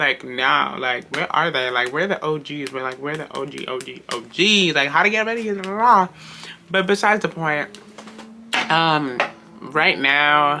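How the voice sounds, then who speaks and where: Through noticeable background noise, a man with a fairly high pitch speaks with lively intonation. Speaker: vlogger. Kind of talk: casual vlog monologue. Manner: fast.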